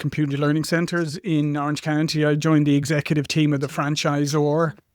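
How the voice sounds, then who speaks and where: A man with an Irish accent talks at a fairly quick pace in a fairly high pitch. His intonation is monotone and flat, and the recording is very clean with a silent background. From Ireland. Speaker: marketing executive. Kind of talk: interview. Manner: halting, with many fillers.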